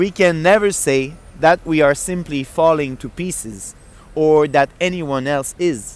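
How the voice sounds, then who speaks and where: Speaking fairly slowly with a French accent, a man has a fairly high pitch and ordinary pitch variation. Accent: French accent, noticeable. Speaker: book reader. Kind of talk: reading aloud; casual chat. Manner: halting.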